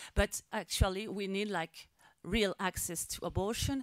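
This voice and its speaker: Heard in a dry, close recording with no echo, a woman with a French accent speaks with ordinary pitch variation. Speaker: activist. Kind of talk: press conference speech. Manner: halting.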